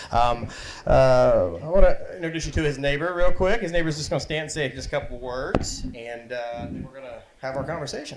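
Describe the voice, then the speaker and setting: Amid noticeable background noise, a man talks at a fairly quick pace with big swings in loudness. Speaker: interviewer. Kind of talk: live event interview.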